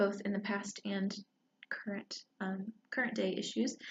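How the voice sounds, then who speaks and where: The voice is quiet and somewhat breathy. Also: woman. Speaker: book reviewer. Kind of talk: casual book talk. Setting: library. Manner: quiet, hushed; hesitant, many fillers.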